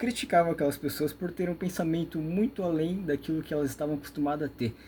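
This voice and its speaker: A somewhat breathy male voice. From Brazil. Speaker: YouTube lecturer on metaphysics. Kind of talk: monologue lecture. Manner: fast; rambling, with many fillers.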